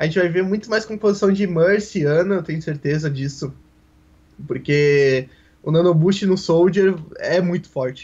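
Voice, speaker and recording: A man is talking in a high voice. It moves up and down in an ordinary way. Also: moderate pace. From southern Brazil, Porto Alegre. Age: 20s. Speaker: esports commentator. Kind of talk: casual interview.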